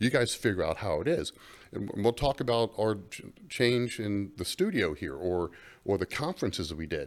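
A man with an American accent speaks at a medium pitch and a moderate pace, with very wide pitch swings and vocal fry, in a very clean recording with a silent background. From Florida, US South. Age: 50s. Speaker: trade association chief executive. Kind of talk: interview. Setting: studio.

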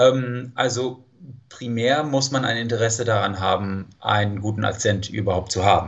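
This man has a medium pitch, a somewhat breathy quality, fairly even intonation and a slight non-native accent. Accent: near-native German, slight. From California, US. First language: English (speaking German). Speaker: language teacher. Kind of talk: interview. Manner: hesitant, many fillers.

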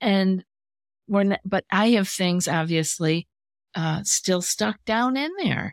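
The woman talks at a very slow pace with ordinary pitch variation. The sound is dry and close, with no echo. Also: medium pitch for a woman. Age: 60s. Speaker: anxiety coach and podcast host. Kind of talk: casual interview chat.

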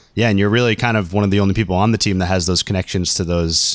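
A man's intonation stays fairly even as he races along at a very fast pace. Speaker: podcast host. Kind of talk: casual interview chat.

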